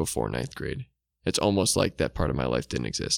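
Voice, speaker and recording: On a very clean recording with a silent background and a dry, close sound with no echo, a man with vocal fry talks at a fairly quick pace. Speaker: podcast co-host. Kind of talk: casual chat. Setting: home studio, sitting far apart.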